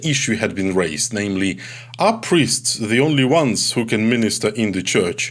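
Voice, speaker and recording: A man with a Ukrainian accent. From Ukraine. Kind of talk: recorded talk on theology. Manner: halting, with filler sounds.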